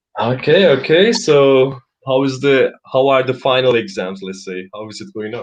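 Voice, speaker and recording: With a Turkish accent, a man talks at a medium pitch and a moderate pace, with lively intonation and big swings in loudness. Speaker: English conversation teacher. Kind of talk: live online conversation lesson. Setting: live stream.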